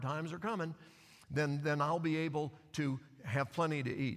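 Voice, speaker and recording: A man's bright, sharp voice at a fairly high pitch, moderate pace, and ordinary pitch variation, in a very clean recording with a silent background. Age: 60s. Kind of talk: sermon. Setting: church with congregation.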